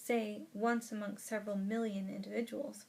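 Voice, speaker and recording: A woman's fairly high-pitched voice with a somewhat breathy quality. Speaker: audiobook reader. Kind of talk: audiobook reading of a nonfiction book.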